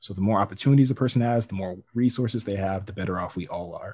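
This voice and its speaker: Somewhat breathy, a man with an American accent talks at a very fast pace with ordinary pitch variation. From US West, Las Vegas. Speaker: podcast guest. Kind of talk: casual political discussion.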